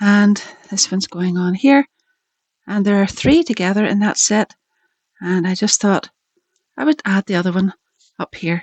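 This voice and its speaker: A woman in a Northern Irish accent speaks at a medium pitch and moderate pace, with ordinary pitch variation. She leaves long, frequent pauses, and the sound is dry and close with no echo. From Northern Ireland. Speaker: craft video maker. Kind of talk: crafting tutorial; video outro. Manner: casual, chatty.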